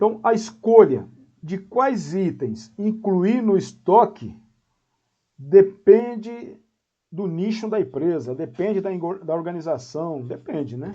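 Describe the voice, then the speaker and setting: A man with a high yet dark, mellow voice speaks very slowly with lively intonation. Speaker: professor. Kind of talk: lecture. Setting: video call. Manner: halting.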